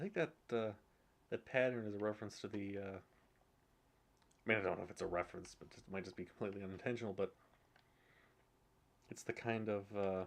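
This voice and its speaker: Talking very fast yet with long, frequent pauses, a man with a fairly low pitch shows big swings in loudness. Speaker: video game streamer. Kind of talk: gameplay commentary. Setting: home with others sleeping nearby. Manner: monotone; halting.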